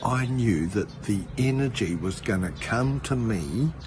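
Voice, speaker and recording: A man with an Australian accent talks at a very slow pace and medium pitch, his intonation lively. Background noise is noticeable. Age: 60s. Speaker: spiritual healer. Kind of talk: casual talk to camera. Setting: outdoors. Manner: casual.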